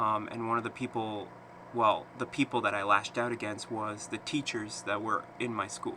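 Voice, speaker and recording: The speaker is a man with a medium-pitched voice. He talks in a flat monotone. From eastern Canada (Quebec, New Brunswick). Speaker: vlogger. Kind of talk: personal vlog monologue. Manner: halting, many fillers.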